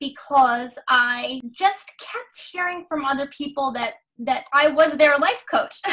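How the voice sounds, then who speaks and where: A woman speaks at a very slow pace in a raised, projected voice with a bright, sharp tone. Her pitch varies in an ordinary way, and the background is quiet. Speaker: life coach guest. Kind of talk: interview answer. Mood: warm, cheerful, laughs. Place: home room. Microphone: video call.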